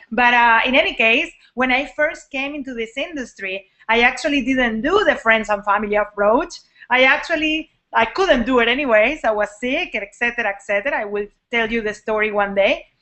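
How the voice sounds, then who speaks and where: A woman's high voice with a Latin American accent, at a fairly quick pace with ordinary pitch variation. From Venezuela. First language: Spanish. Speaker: network marketing coach. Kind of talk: live online training talk. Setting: live video hangout. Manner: casual, animated. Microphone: poor sound quality.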